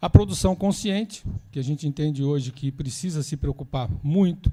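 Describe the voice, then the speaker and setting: A man with a Brazilian accent speaks at a fairly high pitch, somewhat breathy. His tone is dark and mellow, with ordinary pitch variation. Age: 60s. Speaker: environmental institute founder. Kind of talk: lecture. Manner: casual, conversational.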